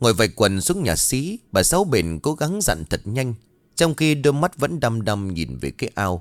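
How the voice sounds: The clip features a natural reading voice. That voice carries all the way through.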